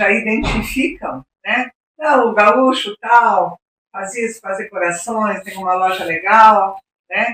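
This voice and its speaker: With a southern Brazilian accent, the speech comes very slowly with big swings in loudness, in a dry, close sound with no echo. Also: woman, fairly high pitch for a woman, ordinary pitch variation. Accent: gaúcho Brazilian Portuguese. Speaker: podcast host. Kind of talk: podcast interview.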